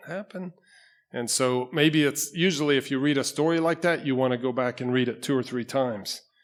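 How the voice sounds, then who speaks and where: A man speaking in a normal speaking voice keeps a medium pitch, ordinary pitch variation and a moderate pace, captured in a very clean recording with a silent background. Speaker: pastor. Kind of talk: sermon. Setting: church.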